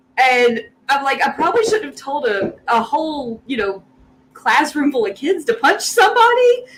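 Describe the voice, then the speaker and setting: A high-pitched woman's voice in a Southern US accent, full of very wide pitch swings. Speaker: guest geek fan. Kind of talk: casual chat.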